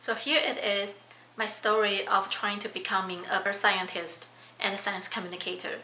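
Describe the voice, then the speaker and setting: A woman with a non-native accent speaks at a moderate pace with fairly even intonation, amid audible room echo and noticeable background noise. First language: not English. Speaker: PhD student and science communicator. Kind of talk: vlog monologue.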